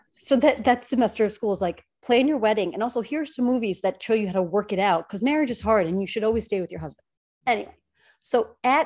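The speech comes in a New York accent at a fairly quick pace, with lively intonation. The background is quiet. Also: woman. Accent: Staten Island. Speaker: podcast co-host. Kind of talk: casual chat. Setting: studio.

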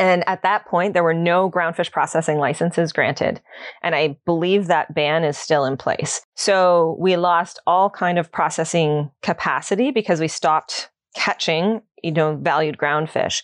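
In a normal speaking voice, a woman with a Canadian accent and a fairly low pitch talks with fairly even intonation and very even loudness, recorded with a dry, close sound with no echo against a quiet background. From Ontario, Canada. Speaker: associate professor, ocean governance researcher. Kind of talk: interview.

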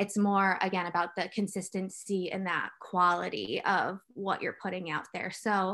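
A woman's bright, sharp voice at a medium pitch, fairly slow in pace, over a quiet background. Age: 30s. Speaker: marketing manager. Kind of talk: casual chat.

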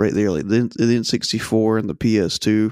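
Moving at a moderate pace, a man talks in a plain, everyday voice of medium pitch with ordinary pitch variation. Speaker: writer and YouTube content creator. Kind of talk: casual chat.

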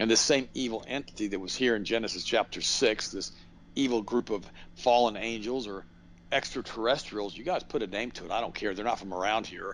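With a plain, everyday voice, a man talks at a fairly quick pace, with big swings in loudness. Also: medium pitch for a man, ordinary pitch variation. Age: 60s. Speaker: radio host and health products seller. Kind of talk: interview.

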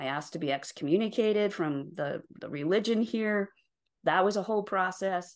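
A woman speaks in a normal speaking voice at medium pitch. Her pace is moderate and the background is quiet. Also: ordinary pitch variation. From rural Utah, US. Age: 60s. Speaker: life and career coach. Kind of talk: interview conversation.

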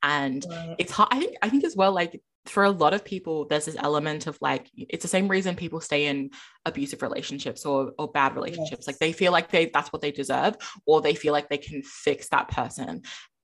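A woman with an Australian accent talks at a fairly quick pace, her fairly low voice full of lively intonation. The recording is very clean, with a silent background. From Adelaide, South Australia. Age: 20s. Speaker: podcaster. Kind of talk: casual chat. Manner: loud, outgoing.

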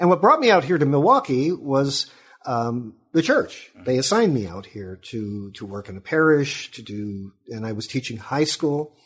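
Speaking with an American accent at a moderate pace, a man barely pauses, his pitch swinging very widely and his loudness in big swings. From Sacramento, California. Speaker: history professor and author. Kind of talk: interview.

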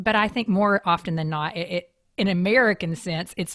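A woman speaks with a Kentucky accent and ordinary pitch variation. The recording is very clean and dry, close with no echo, over a silent background. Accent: Kentucky Southern US. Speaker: podcast host. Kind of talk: interview.

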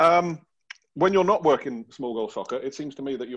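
With a British accent, a man talks at a fairly quick pace, his pitch swinging very widely. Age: 40s. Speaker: podcast host. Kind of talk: casual chat.

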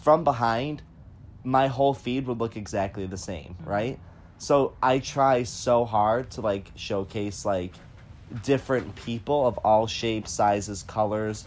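With ordinary pitch variation, a plain, everyday voice proceeds at a fairly slow pace. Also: man, medium pitch for a man. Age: 20s. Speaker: podcast host. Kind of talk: casual chat. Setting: at home on a bed.

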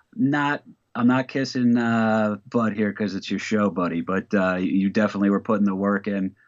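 This is a normal speaking voice, delivered at a moderate pace. Its pitch shows ordinary variation. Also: man, fairly low pitch for a man. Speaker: comedian. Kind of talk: casual chat. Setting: video call.

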